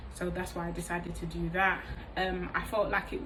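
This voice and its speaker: A woman talks at a moderate pace over noticeable background noise, with audible echo in the room. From East London, England. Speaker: vlogger, hairdresser. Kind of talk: casual vlog monologue. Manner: hesitant with frequent fillers.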